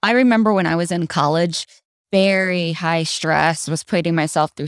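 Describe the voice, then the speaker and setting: On a very clean recording with a silent background and a dry, close sound free of echo, a woman speaks at a moderate pace. Her fairly low voice has an animated tone and ordinary pitch variation. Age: 40s. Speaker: podcast co-host. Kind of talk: casual chat.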